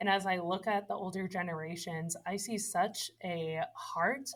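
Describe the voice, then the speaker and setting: A woman speaks with an American accent at a fairly slow pace, medium in pitch with ordinary variation and somewhat breathy. The recording is very clean, with a silent background. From Massachusetts. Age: 20s. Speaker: church family ministry leader. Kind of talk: podcast interview. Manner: animated.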